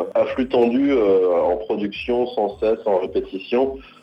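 A man speaks at a medium pitch with ordinary pitch variation, and noticeable background noise can be heard. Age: 30s. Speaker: singer. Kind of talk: interview. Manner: halting.

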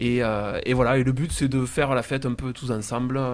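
This man talks at a moderate pace and a medium pitch in a plain, everyday voice. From southern France, Castres (Tarn). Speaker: singer-songwriter in a band. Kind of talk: casual radio interview.

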